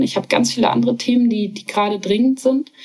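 A woman talks at a fairly quick pace with ordinary pitch variation. Hers is an ordinary speaking voice. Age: 30s. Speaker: startup founder and CEO. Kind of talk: interview.

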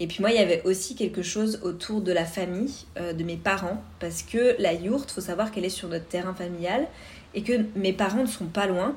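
Audible room echo surrounds a woman's somewhat breathy voice at a medium pitch. She talks at a moderate pace with ordinary pitch variation. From France, Vosges (east). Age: 30s. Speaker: podcast host. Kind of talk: personal monologue.

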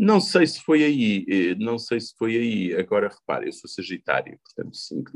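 A man speaks at a fairly slow pace with hardly any pauses, and his loudness swings widely. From Portugal, Covilhã (Beira interior). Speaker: politician. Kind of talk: interview.

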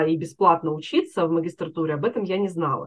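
At a moderate pace, an unremarkable speaking voice shows ordinary pitch variation. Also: woman. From Russia, Chelyabinsk. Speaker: career coach. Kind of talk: interview.

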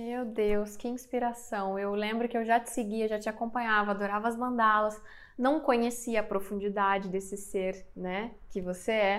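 Her intonation monotone and flat, a woman with fairly high pitch speaks at a moderate pace. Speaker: podcast host and spiritual mentor. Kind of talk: interview.

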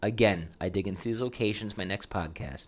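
A man speaks with ordinary pitch variation. The recording is very clean, with a silent background. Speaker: travel podcast host. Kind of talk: scripted-style travel guide monologue. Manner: informal, chatty.

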